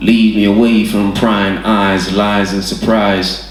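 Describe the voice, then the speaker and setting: Over noticeable background noise, a man talks very slowly at a fairly low pitch with monotone, flat intonation. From Hackney, London. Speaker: poet performing at an open mic. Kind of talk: spoken word poetry performance.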